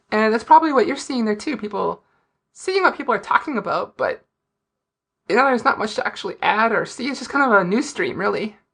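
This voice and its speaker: Talking at a very fast pace, a woman uses a high pitch with very wide pitch swings. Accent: North Dakota. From US Upper Midwest, Fargo, North Dakota. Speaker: indie game reviewer and Let's Player. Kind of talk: podcast interview.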